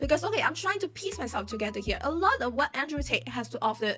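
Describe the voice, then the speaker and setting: A woman with a non-native accent at a very fast pace, music in the background. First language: not English. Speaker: YouTuber commentator. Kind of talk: casual commentary. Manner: halting.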